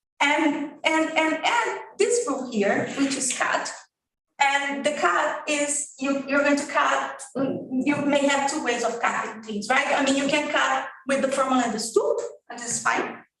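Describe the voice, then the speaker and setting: The speech unfolds at a fairly slow pace. Audible room echo hangs around it. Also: woman, high pitch for a woman, ordinary pitch variation. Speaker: logician giving a workshop talk. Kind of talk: academic lecture. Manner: hesitant, with repetitions and fillers.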